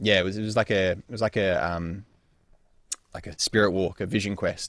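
A man with a very deep, low pitch and an Australian accent, fairly even intonation, long and frequent pauses, dry close sound with no echo, and a very clean recording over a silent background. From Perth, Western Australia. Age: 20s. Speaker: sex coach. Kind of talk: interview conversation. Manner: halting, many fillers.

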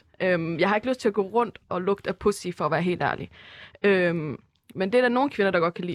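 Speaking at a fairly quick pace against a quiet background, a woman with a medium pitch and ordinary pitch variation sounds dry and close, with no echo. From Denmark, Herning (Jutland). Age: 20s. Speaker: university student. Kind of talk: casual chat. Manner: hesitant, many fillers.

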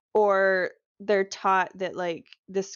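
At a moderate pace, a woman talks in a medium pitch with a normal speaking voice. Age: 20s. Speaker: podcast co-host, host's wife. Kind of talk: casual chat.

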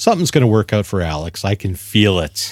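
Someone with a Canadian accent talks in a normal speaking voice. The recording is very clean with a silent background, and the sound is dry and close with no echo. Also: man. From Ontario, Canada. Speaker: model car hobbyist guest. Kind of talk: casual chat.

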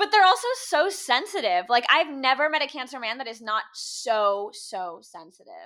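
Raised and projected, a woman's high voice moves at a moderate pace with very wide pitch swings and hardly any pauses. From Cuban-American family. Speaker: podcast host. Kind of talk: casual chat.

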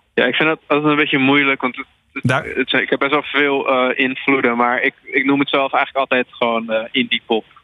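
At a fairly quick pace, a man with a fairly high pitch speaks in a monotone, flat intonation. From Netherlands, Alkmaar (North Holland). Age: 20s. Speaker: musician. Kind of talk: interview. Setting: phone call.

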